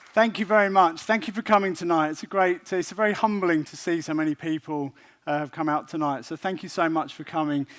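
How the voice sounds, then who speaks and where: Speaking in a British accent at a fairly quick pace with hardly any pauses, a man uses a high pitch, ordinary pitch variation and big swings in loudness. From UK. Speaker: professor. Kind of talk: public lecture. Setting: stage with audience.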